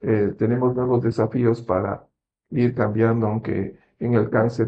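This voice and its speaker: Somewhat breathy and medium in pitch, a man speaks at a moderate pace with fairly even intonation. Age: 60s. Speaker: medical doctor. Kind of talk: interview on health.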